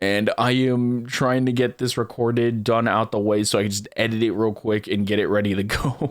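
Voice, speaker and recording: A man speaks quietly in a monotone, flat delivery, his loudness very even and hardly any pauses between words. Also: medium pitch for a man, moderate pace. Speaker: VTuber. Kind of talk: casual chat. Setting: home recording at night. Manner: quiet, holding back volume.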